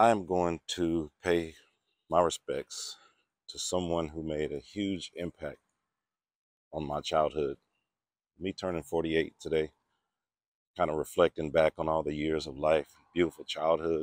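A man with a very deep, low voice speaks at a fairly slow pace in a monotone, flat way, with long, frequent pauses. The sound is dry with no echo, and the background is quiet. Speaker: vlogger visiting a grave. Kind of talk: casual vlog chat. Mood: reflective, respectful. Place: open country. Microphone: phone near.

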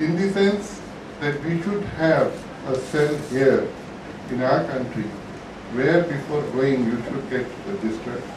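A man talks at a fairly slow pace in a fairly high pitch, with ordinary pitch variation. Noticeable background noise and audible room echo fill the recording. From India. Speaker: lawyer. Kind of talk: symposium speech. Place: hall. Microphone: podium.

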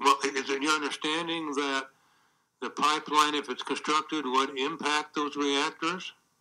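A man's fairly high voice in flat, monotone intonation at a moderate pace, against a quiet background. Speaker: attorney. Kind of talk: witness examination. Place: hall. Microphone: podium.

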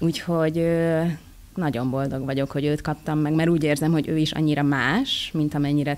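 The speaker is female. Her pitch sits very deep and low. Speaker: voice actress. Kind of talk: interview. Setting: convention. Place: hall. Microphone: studio mic.

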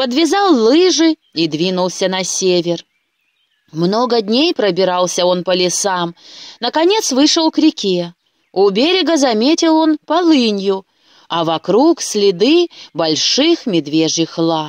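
Heard in a dry, close sound with no echo, a woman with a medium-pitched voice speaks at a slow pace and makes big pitch swings.

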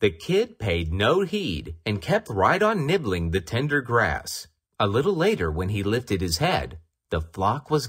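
The reading voice sounds natural. Behind it, things are quiet.

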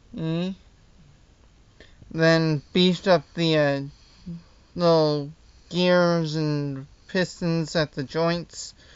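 This man talks at a very slow pace, with long, frequent pauses and a high pitch. His intonation is monotone and flat, and the sound is dry with no echo. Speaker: hobbyist model designer. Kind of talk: casual talk to camera. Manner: stuttering, hesitant. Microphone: phone near.

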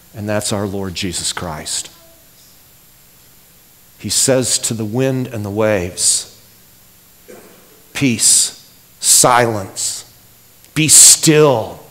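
A man's fairly low voice at a very slow pace, with long, frequent pauses. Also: ordinary pitch variation. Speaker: pastor. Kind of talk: sermon. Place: church. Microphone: headset.

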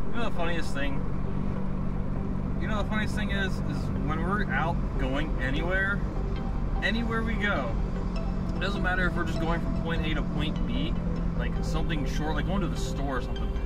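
A man at a moderate pace with long, frequent pauses, dry sound with no echo, and loud music in the background. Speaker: vlogger driving. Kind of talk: casual vlog chat. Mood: relaxed, playful. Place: car. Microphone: phone near.

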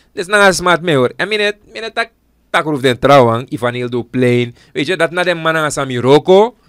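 Here a man with a normal speaking voice talks at a fairly high pitch. His intonation is lively, and the sound is dry and close with no echo. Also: moderate pace. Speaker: politician and radio/tv presenter. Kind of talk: casual studio interview about current affairs. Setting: studio.

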